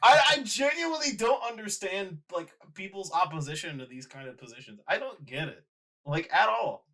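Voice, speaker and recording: Using a raised, projected voice, a man speaks in an animated tone at a high pitch and a moderate pace, with very wide pitch swings and big swings in loudness. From Puerto Rico. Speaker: podcast co-host. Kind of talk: casual chat.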